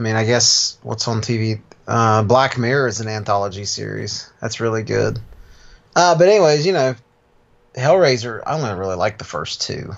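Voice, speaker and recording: A man speaks in a plain, everyday voice at medium pitch. His pace is moderate and his intonation lively. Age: 30s. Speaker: podcast co-host. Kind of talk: casual chat.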